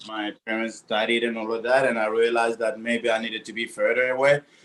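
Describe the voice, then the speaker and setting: A man speaks with a French accent. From Burkina Faso. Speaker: bakery-cafe owner, baker. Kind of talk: casual interview.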